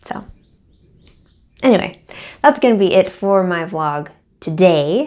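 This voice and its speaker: Pausing long and often, a woman at a medium pitch speaks at a fairly slow pace with very wide pitch swings. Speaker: crochet designer and vlogger. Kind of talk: casual vlog. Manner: halting, many fillers and repeats.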